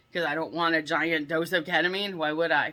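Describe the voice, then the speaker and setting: A woman's very deep, low voice, bright and sharp in tone, in a monotone with flat intonation. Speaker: vlogger. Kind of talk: casual vlog rant. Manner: fast.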